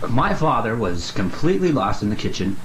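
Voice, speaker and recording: With noticeable background noise around him, a man talks at a moderate pace. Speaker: aspiring actor. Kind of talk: practice reading aloud to camera. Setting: bedroom.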